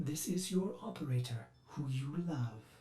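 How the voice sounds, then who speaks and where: Putting on a character voice, a man talks at a moderate pace with lively intonation and a medium pitch. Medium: read story. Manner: cold, condescending, mocking.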